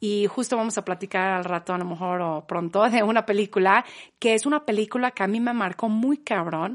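Against a quiet background, a woman speaks at a fairly quick pace in a normal speaking voice, medium in pitch with ordinary pitch variation, her sound dry and close with no echo. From England, Manchester. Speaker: podcast guest. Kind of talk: casual chat.

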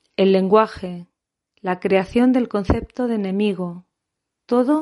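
Her voice is a woman's, with a dark, mellow tone at a medium pitch and ordinary pitch variation. She speaks at a fairly slow pace against a quiet background. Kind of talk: scripted intro then poetry introductions.

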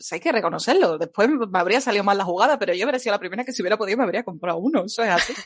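Here a woman speaks with an Andalusian accent. Her intonation is lively. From Andalusia, Seville. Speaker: fiction writer. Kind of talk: casual interview. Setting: livestream.

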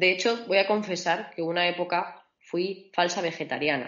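Fairly even intonation marks a woman's medium-pitched voice. It is an ordinary speaking voice. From Extremadura, Spain (Mérida). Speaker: mechanical engineer and entrepreneur. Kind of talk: interview.

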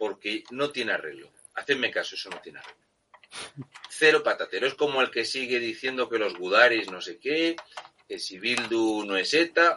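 A man talks at a moderate pace. His loudness rises and falls sharply. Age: 40s. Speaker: political commentator. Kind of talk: political talk show commentary. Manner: animated.

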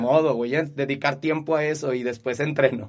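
A man speaks at a moderate pace with fairly even intonation. He has an ordinary speaking voice. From Mexico, Zacatecas. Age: 30s. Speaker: kung fu instructor. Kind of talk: interview conversation.

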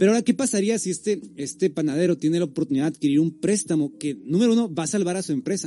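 Rushing along at a very fast pace with hardly any pauses, a man speaks in a dark, mellow tone at a high pitch. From Tijuana, Mexico. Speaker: podcast host. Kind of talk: casual chat. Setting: live stream.

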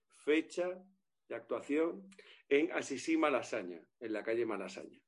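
A man has an ordinary speaking voice. He talks at a fairly slow pace with ordinary pitch variation. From Galicia. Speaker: comedian. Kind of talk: casual chat.

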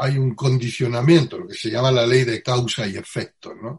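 Using a normal speaking voice, a man talks at a medium pitch and a fairly slow pace. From Andalusia, Spain (Utrera, Seville). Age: 60s. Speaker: Zen Buddhist teacher. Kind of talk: interview.

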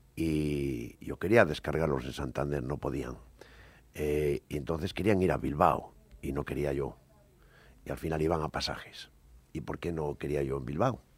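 The voice has vocal fry and ordinary pitch variation. It moves at a moderate pace with long, frequent pauses. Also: man, very deep, low pitch for a man. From Cantabria, Spain (Buelna). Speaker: former business executive. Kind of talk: radio panel debate.

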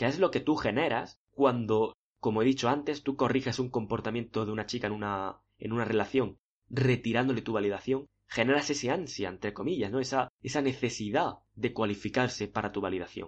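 In a normal speaking voice, a man speaks at a fairly quick pace with a medium pitch and ordinary pitch variation. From Spain. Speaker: podcast host, dating coach. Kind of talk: monologue tutorial.

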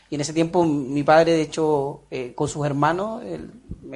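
Over a quiet background, a man with a Chilean accent talks at a fairly high pitch with fairly even intonation. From Chile, Puerto Montt. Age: 30s. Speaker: business manager. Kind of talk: personal life story interview.

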